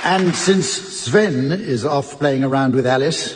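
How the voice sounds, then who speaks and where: With lively intonation, a man with a fairly high pitch talks over noticeable background noise. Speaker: radio panel show chairman. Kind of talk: comedy panel show hosting. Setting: live theatre audience.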